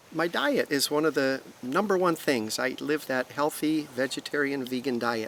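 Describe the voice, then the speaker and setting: A plain, everyday voice at a moderate pace, with hardly any pauses. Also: man, fairly high pitch for a man, ordinary pitch variation, very even loudness. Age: 60s. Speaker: interviewee sharing vegan lifestyle. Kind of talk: interview.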